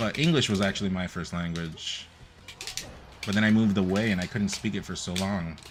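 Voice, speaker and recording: Fairly low in pitch, a man talks at a fairly quick pace with ordinary pitch variation amid noticeable background noise. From Nicaragua. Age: 20s. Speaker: gaming streamer. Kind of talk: casual live-stream chat. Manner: casual, rambling.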